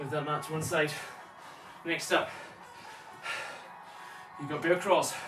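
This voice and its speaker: Speech comes at a moderate pace over clear background music. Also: man. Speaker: personal trainer. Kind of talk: workout instruction. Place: home room. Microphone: camera far.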